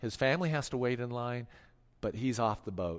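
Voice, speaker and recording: At a moderate pace and medium pitch, a man speaks with ordinary pitch variation in a very clean recording with a silent background. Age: 40s. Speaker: pastor. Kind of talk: sermon. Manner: animated.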